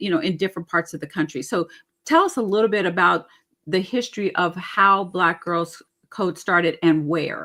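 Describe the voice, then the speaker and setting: A woman speaks in a plain, everyday voice at medium pitch, moving at a moderate pace with ordinary pitch variation. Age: 60s. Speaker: webinar host. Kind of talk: webinar panel moderation.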